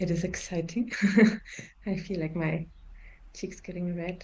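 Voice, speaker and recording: A woman speaks with a German accent. Her tone is dark and mellow. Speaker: forum trainer. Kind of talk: interview. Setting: video call. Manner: halting.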